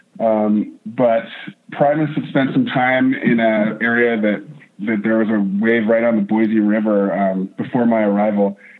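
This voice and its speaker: A man with an American accent and an unremarkable speaking voice talks at a fairly slow pace, with medium pitch, fairly even intonation and very even loudness. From North Idaho. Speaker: whitewater park wave shaper. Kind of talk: interview.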